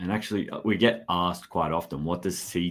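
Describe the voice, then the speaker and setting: The speaker has an Australian accent, on a very clean recording with a silent background. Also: man. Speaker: education company representative. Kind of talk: live stream interview.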